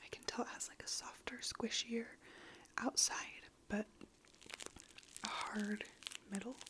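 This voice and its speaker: Whispering in a relaxed tone at a moderate pace, with noticeable background noise. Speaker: ASMR creator. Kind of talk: soft-spoken ASMR ramble to camera. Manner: soft-spoken, relaxed.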